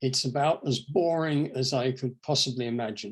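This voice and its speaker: Intonation remains fairly even throughout. The delivery keeps a moderate tempo. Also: man. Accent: English. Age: 70s. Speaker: inspirational speaker. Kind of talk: talk. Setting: online event.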